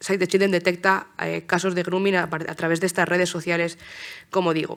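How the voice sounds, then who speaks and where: Her fairly low voice runs at a fairly quick pace, and this woman keeps a monotone, flat intonation throughout. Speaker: political scientist and journalist giving a talk. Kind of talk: conference talk. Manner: fast; hesitant, many fillers and restarts.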